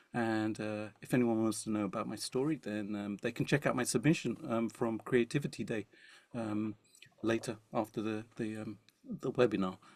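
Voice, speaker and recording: A man talks at a fairly quick pace, his pitch medium and its variation ordinary. The recording is dry and close, with no echo. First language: not English (Indian language). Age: 50s. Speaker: musician. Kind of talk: webinar panel talk. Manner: playful, joking.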